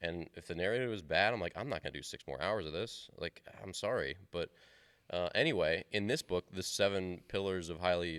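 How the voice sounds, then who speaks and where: Very deep and low in pitch, a man speaks at a very fast pace. The recording is very clean with a silent background, and the sound is dry and close with no echo. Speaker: podcast host, baseball coach. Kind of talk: casual chat. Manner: monotone.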